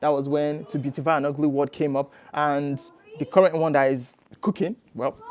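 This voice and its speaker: The speech moves at a fairly quick pace with fairly even intonation, and noticeable background noise is present. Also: man, fairly high pitch for a man. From Nigeria. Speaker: poet. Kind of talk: podcast interview answer.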